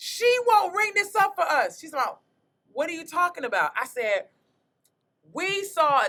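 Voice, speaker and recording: A raised, projected voice with a bright, sharp tone, an animated delivery, very wide pitch swings and a moderate pace. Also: woman. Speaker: comedian, podcast host. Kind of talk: storytelling in casual podcast chat. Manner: loud.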